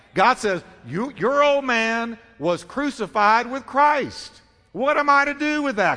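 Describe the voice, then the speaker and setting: Against a quiet background, a man with an extremely high pitch raises and projects his voice in a bright, sharp tone. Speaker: pastor. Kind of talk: sermon; call-and-response preaching, prompting congregation to say amen. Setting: church. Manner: rhetorical questions answered in quick succession, teaching cadence; repetitive, emphatic, with light humor.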